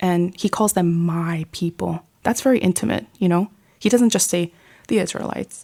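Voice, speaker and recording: Dark and mellow, a voice with an American accent and ordinary pitch variation comes through a dry, close sound with no echo on a very clean recording with a silent background. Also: woman. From New York City. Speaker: lay missionary, ministry director. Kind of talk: faith testimony in podcast interview. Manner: casual, conversational.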